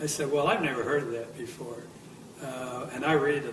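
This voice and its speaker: A man talks at a moderate pace in a monotone, flat intonation. Noticeable background noise and audible room echo are present. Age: 70s. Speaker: near-death experience survivor. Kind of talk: testimony. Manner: halting.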